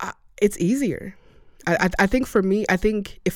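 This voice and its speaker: The speaker has an American accent and fairly even intonation. The recording is very clean, with a silent background. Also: woman. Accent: largely American, little African trace. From Rwanda. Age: 20s. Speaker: immigrant interviewee. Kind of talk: interview. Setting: studio.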